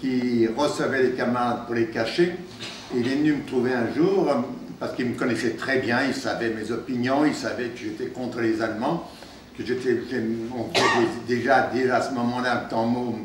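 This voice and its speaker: Over noticeable background noise and audible room echo, the voice moves at a moderate pace with fairly even intonation. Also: man, medium pitch for a man. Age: 80s+. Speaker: former resistance fighter and deportee. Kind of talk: testimony to students. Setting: meeting room with school classes. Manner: halting, many hesitations.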